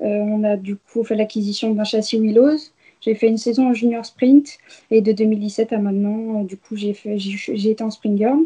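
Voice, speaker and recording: Dark, mellow tone in a somewhat breathy female voice. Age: 20s. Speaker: racing driver. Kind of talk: interview. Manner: hesitant, many fillers.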